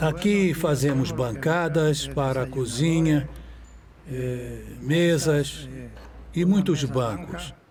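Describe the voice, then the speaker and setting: Audible room echo surrounds a man speaking very slowly. His pitch is fairly high, with ordinary variation. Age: 60s. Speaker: inmate on parole, woodworker. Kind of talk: testimony. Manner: hesitant, with fillers.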